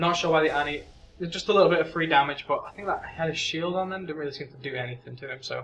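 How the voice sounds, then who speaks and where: A man talks very fast at a fairly high pitch. His loudness swings widely, and background noise is noticeable. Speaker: game shoutcaster. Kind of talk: esports-style game commentary. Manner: casual, conversational, narrating live play.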